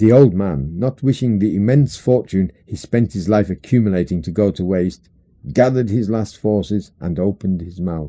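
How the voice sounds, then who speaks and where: Here a man talks in a British accent with a dark, mellow tone. His pace is moderate. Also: fairly low pitch for a man, ordinary pitch variation. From England. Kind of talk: audiobook short story reading. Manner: humorous storytelling.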